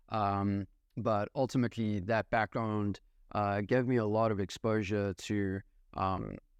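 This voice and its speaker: Against a quiet background, a man speaks in a monotone, flat intonation. The sound is dry and close, with no echo. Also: fairly low pitch for a man, very even loudness. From South Africa. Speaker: real estate investor. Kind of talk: podcast interview. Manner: many fillers and hesitations.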